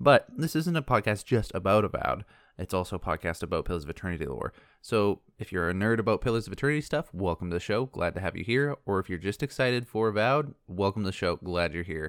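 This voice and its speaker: Very fast and with lively intonation, a man speaks at a fairly low pitch, the sound dry and close with no echo in a very clean recording with a silent background. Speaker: podcast host. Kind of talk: solo lore podcast monologue. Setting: home recording with window open, birds and cars audible. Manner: soft-spoken.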